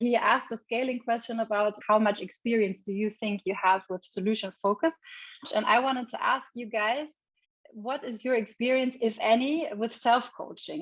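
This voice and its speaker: This is a plain, everyday voice. Its pitch variation is ordinary. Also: woman. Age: 40s. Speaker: leadership coach and psychologist. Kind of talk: online workshop presentation. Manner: conversational, informal.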